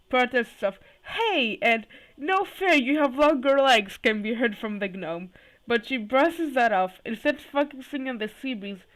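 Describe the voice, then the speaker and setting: A shaky, squeaky woman's voice, high in pitch, moves at a fairly slow pace with lively intonation. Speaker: YouTuber reading fanfiction aloud. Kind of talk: reading aloud. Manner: halting, self-correcting.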